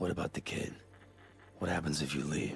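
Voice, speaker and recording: A man puts on a raspy character voice and speaks at a fairly quick pace. Background noise is clearly audible. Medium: video game.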